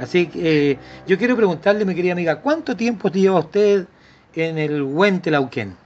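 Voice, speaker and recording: Speaking with a Chilean accent, a man talks at a moderate pace in a high pitch with lively intonation. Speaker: radio host. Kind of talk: casual chat; read-out ad. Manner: animated.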